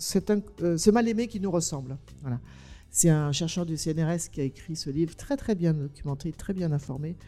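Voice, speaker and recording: The pace is fairly slow, with ordinary pitch variation. Music can be heard in the background. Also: woman, fairly low pitch for a woman. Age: 60s. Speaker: documentary filmmaker and author. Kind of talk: panel discussion. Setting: stage with audience. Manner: animated.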